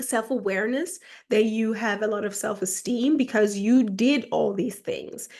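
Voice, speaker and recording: A woman with a German accent and a fairly high pitch, ordinary pitch variation, a moderate pace and a quiet background. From Germany, with early childhood in Ghana. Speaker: self-help YouTuber. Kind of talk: casual monologue. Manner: halting, many fillers.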